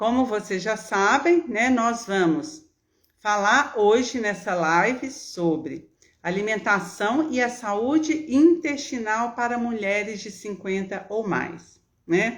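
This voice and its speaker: A woman with a Minas Gerais accent speaks at a very slow pace in a fairly high pitch. Her intonation is lively. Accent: mineiro. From Minas Gerais, Brazil. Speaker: nutritionist and gerontologist. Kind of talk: live stream talk to viewers. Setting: live video stream. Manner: warm, chatty.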